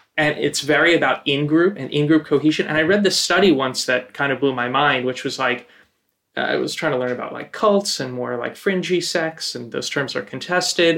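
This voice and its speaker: Ordinary pitch variation in a normal speaking voice, delivered at a fairly quick pace. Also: man, fairly high pitch for a man. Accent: American. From northern New Jersey. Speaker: community organizer. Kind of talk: casual chat.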